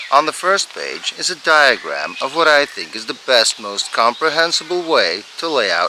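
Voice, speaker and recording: With lively intonation and a moderate pace, a man talks as noticeable background noise carries on behind him. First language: Dutch. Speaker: hobby farmer restoring a tractor. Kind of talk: tutorial narration.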